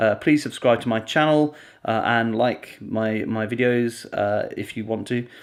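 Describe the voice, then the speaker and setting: A man speaks quietly at a fairly slow pace. The recording is very clean, with a silent background. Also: medium pitch for a man, fairly even intonation. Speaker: video blogger. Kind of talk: vlog to camera. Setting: at home.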